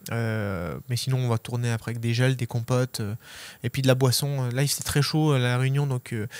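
A man with a normal speaking voice talks at a moderate pace and medium pitch, his intonation fairly even and the sound dry with no echo. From Savoie, French Alps; French Alps. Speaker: ultra trail runner; interviewee. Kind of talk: interview. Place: shop. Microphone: handheld.

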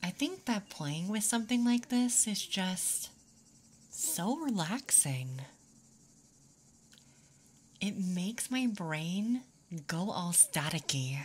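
The speaker is soft-spoken and talks at a very slow pace with long, frequent pauses. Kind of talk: ASMR roleplay, soft intimate talk. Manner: soft, close ASMR roleplay voice.

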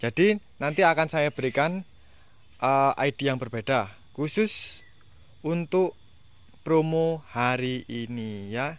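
A man's fairly high-pitched voice at a very slow pace, with lively intonation, an upbeat tone, long, frequent pauses and a dry sound with no echo. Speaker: orchid seller. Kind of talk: sales pitch. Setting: video at the orchid stock, seller speaking to camera. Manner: upbeat, persuasive, direct appeal to buyers. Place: garden. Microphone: phone near.

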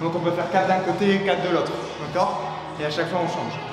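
A high-pitched man talks at a fairly quick pace, with audible room echo and noticeable background noise. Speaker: fitness coach. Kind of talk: workout instruction. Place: gym.

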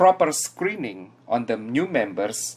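This man speaks with an Indonesian accent. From Indonesia, Java. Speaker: hermit crab dealer. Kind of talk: conference presentation. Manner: formal.

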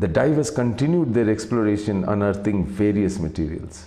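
A dramatic tone with ordinary pitch variation. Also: man. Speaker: video narrator. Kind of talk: scripted mystery documentary narration with a dramatic storytelling build. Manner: measured, hushed suspense-building pace, dramatic and atmospheric; formal, polished, slightly theatrical. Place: home room. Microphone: lapel.

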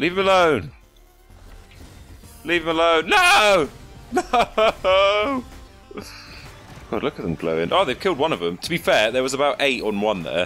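A man keeps a moderate pace, pausing long and often, while music plays in the background. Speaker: gaming commentator. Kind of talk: live gameplay commentary. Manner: excitable.

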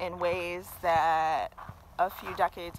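A woman speaks at a fairly low pitch. The sound is dry with no echo, though there is noticeable background noise. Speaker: vlogger. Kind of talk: casual vlog chat. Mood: reflective, occasional laughs. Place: forest. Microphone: phone near.

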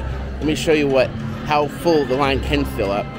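Moderately paced male speech over background music. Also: dry sound with no echo. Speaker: vlogger. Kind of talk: casual vlog chat. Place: hall. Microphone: phone near.

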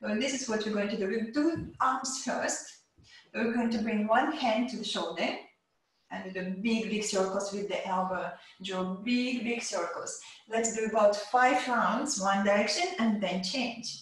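The speaker moves at a fairly slow pace with ordinary pitch variation. Audible room echo surrounds the voice. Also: woman. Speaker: yoga teacher. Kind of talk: instruction. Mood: calm, encouraging. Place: home room. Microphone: camera far.

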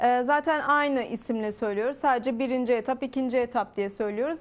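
Her pitch high, a woman talks at a moderate pace with ordinary pitch variation. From Turkey. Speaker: real estate sales manager. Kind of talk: TV interview, sales pitch. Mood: calm, persuasive. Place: studio. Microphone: lapel.

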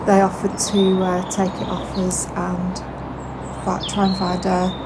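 A woman talks while loud background noise fills the recording. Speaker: narrowboat vlogger. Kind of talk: casual vlog chat. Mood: relaxed, positive. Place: boat.

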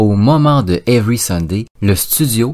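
Lively intonation carries this voice with an English accent. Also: man. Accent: English-speaking accent in French. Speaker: podcast host. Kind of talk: scripted narration.

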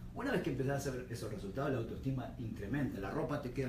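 A man talking at a very fast pace over noticeable background noise. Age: 40s. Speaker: personal trainer and nutrition coach. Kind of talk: radio interview answer about weight loss. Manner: explanatory, conversational. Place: studio.

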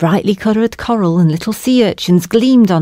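Pitch that varies in an ordinary way, heard in a natural reading voice

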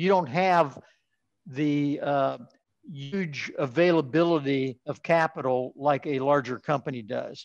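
Over a quiet background, a man with an American accent speaks at a very slow pace. His pitch is fairly high and his intonation fairly even. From southeastern Ohio. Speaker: metallurgical engineer and heat treat executive; podcast guest. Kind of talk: interview. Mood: calm, reflective. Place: home room. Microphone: webcam.

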